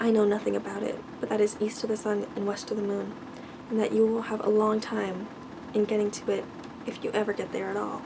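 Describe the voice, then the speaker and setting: A soft-spoken woman at a very fast pace, with noticeable background noise. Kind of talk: fairy tale reading.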